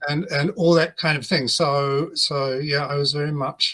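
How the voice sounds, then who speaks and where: At a fairly slow pace, a man speaks in a fairly high pitch with a bright, sharp tone. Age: 70s. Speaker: religious studies professor. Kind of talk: interview. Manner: halting.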